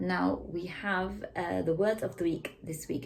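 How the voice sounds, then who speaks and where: Speech comes in a British accent. It moves at a moderate pace. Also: woman. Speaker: school teacher giving weekly update. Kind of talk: weekly school announcements to camera.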